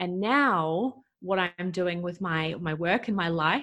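A woman with a New Zealand accent, fairly low-pitched, with ordinary pitch variation and a very slow pace. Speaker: breathwork coach. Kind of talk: interview.

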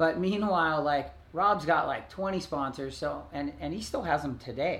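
This man has an ordinary speaking voice. His pitch is fairly high, with ordinary pitch variation. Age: 40s. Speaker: former pro surfer and surf video star. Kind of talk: casual chat interview. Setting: at home.

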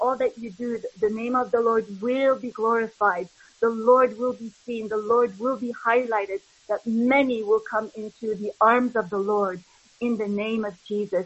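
A woman speaks at a moderate pace, somewhat breathy, with fairly high pitch and monotone, flat intonation. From Canada. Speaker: church member. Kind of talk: prayer.

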